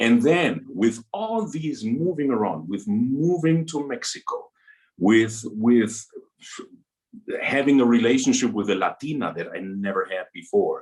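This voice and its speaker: A man speaks at a fairly slow pace. His medium pitch swings very widely. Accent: German. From Germany. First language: German. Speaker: opera singer. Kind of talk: interview. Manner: halting.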